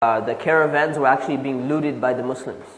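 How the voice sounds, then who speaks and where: The speaker talks with an American accent at a fairly quick pace. The intonation stays fairly even, and there is noticeable background noise. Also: man. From Southern California. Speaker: imam, Islamic lecturer. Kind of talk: classroom lecture. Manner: casual, conversational.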